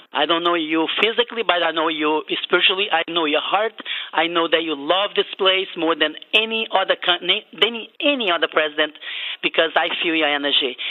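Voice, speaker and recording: Delivered at a fairly quick pace, the speech has a Portuguese accent and ordinary pitch variation. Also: woman, fairly low pitch for a woman. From Brazil. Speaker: caller. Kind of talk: call-in comment.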